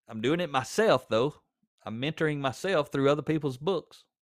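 A man with a Southern US accent, fairly high-pitched for a man, at a moderate pace with ordinary pitch variation, in a very clean recording with a silent background. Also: dry, close sound with no echo. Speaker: podcast host and author. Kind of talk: pep talk, blunt and confrontational, aimed straight at a slacking listener. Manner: direct, plainspoken, forceful, with a fired-up, scolding edge; conversational, with repeated words and fillers.

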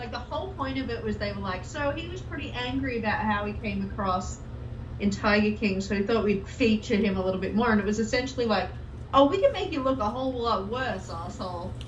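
A woman talks at a very fast pace in an Australian accent. Noticeable background noise runs underneath. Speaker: podcast co-host. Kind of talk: casual chat. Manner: profane, animated.

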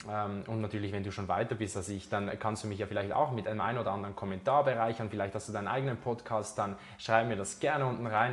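This man's fairly low voice races along at a very fast pace with fairly even intonation. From Switzerland, Zurich. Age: 20s. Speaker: podcast host, fitness trainer. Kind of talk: solo podcast monologue. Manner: casual, with many fillers.

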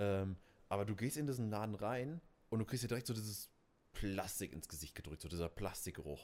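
This man has an ordinary speaking voice with a fairly low pitch. He talks at a fairly quick pace with lively intonation. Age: 20s. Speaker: podcast co-host, DJ. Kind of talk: casual chat.

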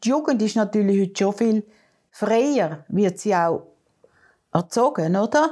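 Speaking at a fairly slow pace with long, frequent pauses, a woman has a fairly high pitch and a dark, mellow tone with lively intonation. Her loudness stays very even, and the recording is very clean with a silent background. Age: 70s. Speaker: grandmother, podcast co-host. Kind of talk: casual chat.

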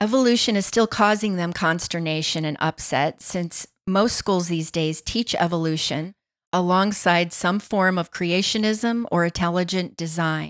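A woman with an American accent and a fairly low pitch, at a moderate pace, with ordinary pitch variation, in a very clean recording with a silent background. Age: 60s. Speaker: podcast host. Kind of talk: opinion monologue.

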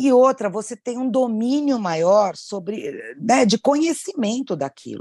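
Speaking at a fairly slow pace with hardly any pauses, a woman has a dark, mellow tone and very wide pitch swings. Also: fairly high pitch for a woman, dry, close sound with no echo, quiet background. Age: 50s. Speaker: thrift store owner. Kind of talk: casual chat.

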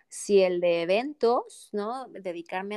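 The background is silent on this very clean recording of a woman talking. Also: dry, close sound with no echo. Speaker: transpersonal coach. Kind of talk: interview conversation. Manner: calm, soothing.

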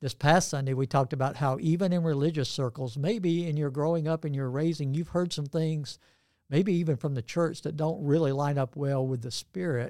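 On a very clean recording with a silent background, a man with a Southern US accent and a dark, mellow tone talks at a fairly quick pace, his pitch fairly high with ordinary variation. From US South, Georgia. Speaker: pastor. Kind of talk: casual interview. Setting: studio.

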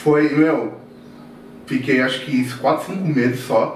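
A man speaks at a fairly slow pace. There is noticeable background noise and audible room echo. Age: 30s. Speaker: market data analyst. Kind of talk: casual chat.

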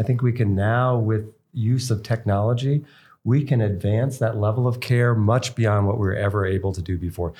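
In a very clean recording with a silent background, a man with an American accent speaks at a fairly quick pace and medium pitch, his dark, mellow tone somewhat breathy and his pitch variation ordinary. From US East Coast. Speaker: physician and podcast host. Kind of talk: interview.

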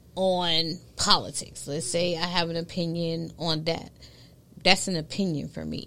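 With a New York accent, a woman talks at a fairly slow pace in a bright, sharp tone with monotone, flat intonation. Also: fairly low pitch for a woman. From New York, Brooklyn. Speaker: content creation strategist. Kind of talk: casual chat.

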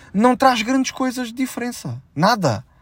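At a moderate pace, a man talks with a European Portuguese accent in a dry, close sound with no echo. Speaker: comedian and podcast host. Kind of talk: casual solo monologue.

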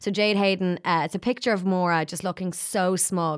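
Heard at a moderate pace in an Irish accent, the voice has a bright, sharp tone and ordinary pitch variation on a very clean recording with a silent background. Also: woman. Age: 30s. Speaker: podcast presenter and producer. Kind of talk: casual chat. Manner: animated.

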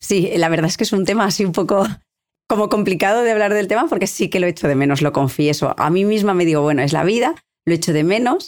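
Speaking very fast at a very even loudness, a woman uses lively intonation at a medium pitch. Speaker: helicopter pilot and aeronautical engineer. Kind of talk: interview. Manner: halting.

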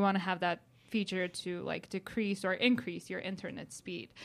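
A woman with a Georgian accent speaks at a medium pitch with fairly even intonation, in a very clean recording with a silent background. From country of Georgia. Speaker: tech startup founder. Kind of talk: interview. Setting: studio.

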